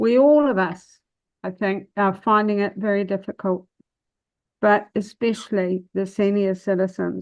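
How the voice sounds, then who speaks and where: A woman with a New Zealand accent talks at a medium pitch. Her pace is fairly slow and her intonation fairly even. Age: 70s. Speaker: public submitter at council meeting. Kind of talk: answering questions; public submission.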